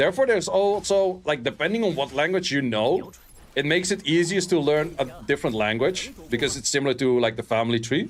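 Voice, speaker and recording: A man with a Dutch accent speaks at a fairly quick pace and a fairly high pitch, with an animated tone and lively intonation. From Netherlands. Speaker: game streamer. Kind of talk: casual livestream chat.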